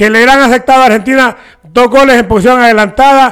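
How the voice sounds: A man speaks at an extremely high pitch with fairly even intonation and a clear, smooth, fairly bright tone.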